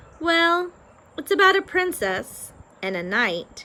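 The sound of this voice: Using a put-on character voice, a woman speaks at an extremely high pitch. Her pace is fairly slow.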